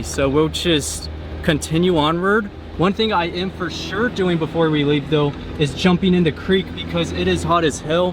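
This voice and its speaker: A man at a moderate pace, with noticeable noise in the background. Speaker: travel vlogger. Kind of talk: vlog narration while traveling. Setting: outdoors. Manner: casual; loud.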